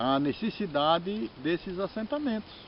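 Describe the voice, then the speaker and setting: A man speaks with lively intonation. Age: 60s. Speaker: religious master. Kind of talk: informal talk on religious tradition. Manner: halting, with repeated words.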